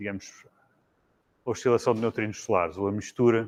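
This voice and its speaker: A man with a European Portuguese accent, fairly low-pitched, at a moderate pace with monotone, flat intonation. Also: very clean recording, silent background. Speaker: physicist. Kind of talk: lecture. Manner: halting, many fillers and restarts.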